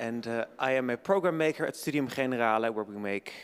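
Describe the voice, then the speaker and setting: A man speaks with a Dutch accent. His pitch is medium. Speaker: event moderator. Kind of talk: event introduction. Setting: lecture hall with audience. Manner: slight stutter.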